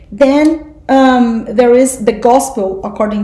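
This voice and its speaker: A woman speaks fairly slowly in a high pitch with ordinary pitch variation. Noticeable background noise is present. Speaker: spiritual study group teacher. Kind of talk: class lecture.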